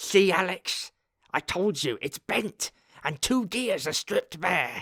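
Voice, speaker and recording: A man growls in a put-on character voice at a high pitch, with lively intonation and a fairly slow pace, the sound dry and close with no echo. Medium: read story. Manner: sardonic.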